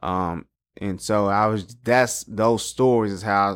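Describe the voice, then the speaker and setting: With an American accent, a man speaks at a fairly low pitch in a very clean recording with a silent background. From Texas, Dallas. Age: 30s. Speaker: school principal. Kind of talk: podcast interview.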